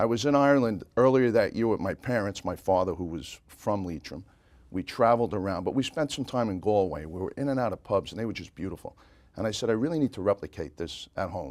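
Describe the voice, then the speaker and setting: A man with a slight Brooklyn accent, very fast and lively in intonation, on a very clean recording with a silent background. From New York City, Brooklyn (Bay Ridge). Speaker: pub owner, parade grand marshal. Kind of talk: interview.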